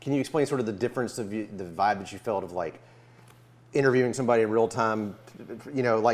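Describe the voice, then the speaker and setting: With a Memphis accent, a man at medium pitch with ordinary variation talks at a very fast pace, broken by long, frequent pauses. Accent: Southern US (Memphis). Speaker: musician interviewer. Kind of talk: casual interview chat. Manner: halting, many fillers.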